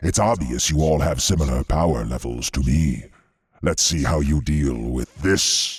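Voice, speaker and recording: Putting on a character voice, a man speaks very deep and low at a moderate pace. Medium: read story. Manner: playful, taunting.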